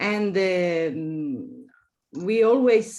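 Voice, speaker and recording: Very slow speech in an Italian accent, with very wide pitch swings. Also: woman. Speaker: architecture professor. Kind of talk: interview. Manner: halting, many fillers and repetitions.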